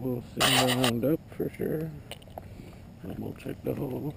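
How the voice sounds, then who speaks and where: Noticeable background noise runs under this voice. A man talks at a moderate pace with ordinary pitch variation. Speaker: metal detecting hobbyist. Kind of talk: casual vlog narration. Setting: outdoors. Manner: mumbling.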